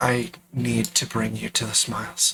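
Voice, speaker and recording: Someone puts on a raspy character voice and keeps a moderate pace. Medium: actual play.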